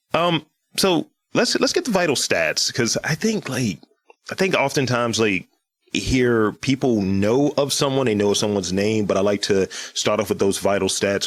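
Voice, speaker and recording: His pitch sits in the middle range for a man. The man talks at a moderate speed. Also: very even loudness. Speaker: podcast host.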